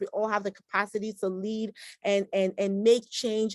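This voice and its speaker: A woman's fairly high voice at a moderate pace, the sound dry and close with no echo. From Nigeria (Edo State), moved to US as teenager. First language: Igbo. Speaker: physician and antiracism activist. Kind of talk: interview. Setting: video call.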